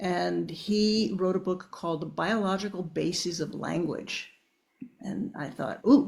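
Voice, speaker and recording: Lively intonation and vocal fry in a woman's speech. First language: Italian. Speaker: auditory neuroscientist and professor. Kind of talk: podcast interview.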